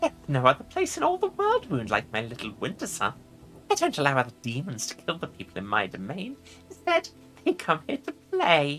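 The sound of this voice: Over faint music in the background, a woman does a put-on character voice at a low pitch and a fairly quick pace, with very wide pitch swings and a fairly bright tone.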